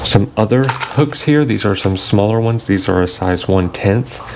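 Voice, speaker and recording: Speaking in an American accent at a fairly slow pace, a man has a fairly low pitch and ordinary pitch variation, with noticeable background noise behind him. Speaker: fishing youtuber. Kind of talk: product review tutorial. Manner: casual, hesitant with fillers.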